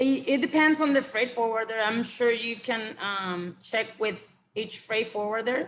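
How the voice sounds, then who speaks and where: Here a woman speaks in a Spanish accent at a fairly high pitch. Her pace is fairly slow. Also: ordinary pitch variation. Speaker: export compliance consultant. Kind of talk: webinar presentation with Q&A. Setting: online webinar. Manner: halting, many fillers and repeated words.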